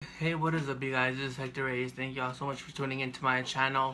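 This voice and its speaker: At a fairly quick pace, a man talks in a medium pitch with a bright, sharp tone and fairly even intonation. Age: 20s. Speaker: vlogger. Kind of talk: personal storytelling vlog. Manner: monotone; halting.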